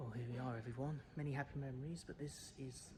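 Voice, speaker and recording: With a British accent, a man speaks at a medium pitch and a fairly quick pace with ordinary pitch variation over noticeable background noise. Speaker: travel vlogger. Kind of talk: travel vlog narration. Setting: airport lounge. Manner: hushed, keeping voice down.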